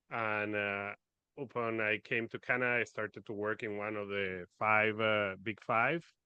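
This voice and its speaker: At a fairly slow pace, a man with a Spanish accent speaks at a fairly low pitch. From Venezuela. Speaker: finance expert. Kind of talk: podcast interview.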